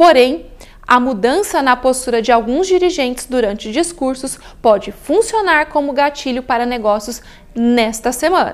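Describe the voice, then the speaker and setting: A woman speaks at a moderate pace in a high voice with lively intonation. Her loudness stays very even. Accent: Brazilian. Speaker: investment strategist presenter. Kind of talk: formal newsreading of market briefing. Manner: formal; even, measured, steady delivery.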